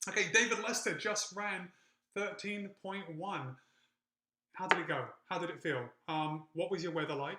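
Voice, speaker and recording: A man with an American accent and a high pitch uses a raised, projected voice, leaving long, frequent pauses. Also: ordinary pitch variation, moderate pace. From UK. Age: 40s. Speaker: running YouTuber. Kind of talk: live-stream chat reading comments. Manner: off the cuff, casual with fillers.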